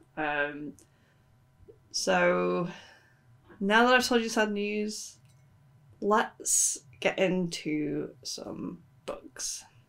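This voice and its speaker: A woman speaks quietly at a very slow pace, with long, frequent pauses. Her loudness swings widely. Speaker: book vlogger. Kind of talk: casual book review vlog.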